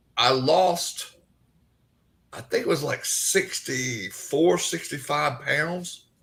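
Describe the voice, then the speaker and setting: With a Southern US accent, a man speaks at a very slow pace with big swings in loudness. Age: 60s. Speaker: paranormal investigator and cancer survivor. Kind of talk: interview.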